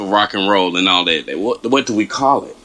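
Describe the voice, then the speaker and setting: A man with a Southern US accent talks at a fairly quick pace in an animated tone. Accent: Southern country. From US South. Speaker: reaction video host. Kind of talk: reaction commentary.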